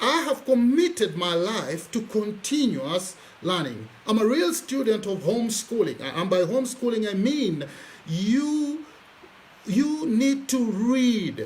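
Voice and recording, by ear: With audible room echo, a man with a high pitch and a slightly mellow tone speaks at a slow pace, making big pitch swings.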